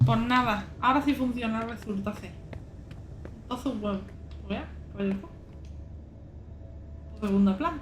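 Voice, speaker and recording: At a fairly slow pace, the speech has long, frequent pauses, big swings in loudness and ordinary pitch variation, with noticeable background noise. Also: woman, fairly high pitch for a woman. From Andalusia, Spain. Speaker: streamer. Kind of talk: casual live-stream gaming commentary. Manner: unfiltered, swears a lot.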